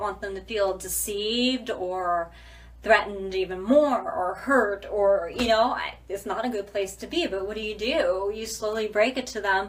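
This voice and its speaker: Noticeable background noise behind a moderate pace and ordinary pitch variation. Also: woman. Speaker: dancer and dance company director. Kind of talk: casual vlog monologue. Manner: animated.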